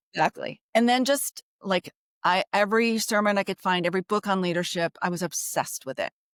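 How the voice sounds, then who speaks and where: A woman's medium-pitched voice, an ordinary speaking voice, with ordinary pitch variation, a fairly quick pace and a dry, close sound with no echo. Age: 60s. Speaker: pastor. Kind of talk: interview.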